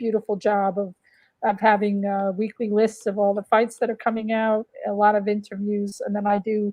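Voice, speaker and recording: A woman with a medium pitch speaks at a moderate pace in a monotone, flat intonation. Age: 60s. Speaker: boxing historian and writer. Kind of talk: interview. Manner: hesitant with many fillers.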